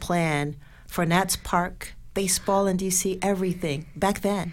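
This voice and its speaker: Speaking in an unremarkable speaking voice, a woman has a medium pitch and fairly even intonation. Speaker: radio host and media personality. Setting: studio.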